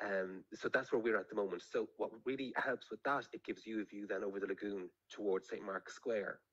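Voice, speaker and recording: A man talks at a fairly quick pace with an Irish accent, leaving hardly any pauses. The sound is dry and close, with no echo. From Ireland, County Meath (Navan). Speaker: author and journalist. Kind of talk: interview.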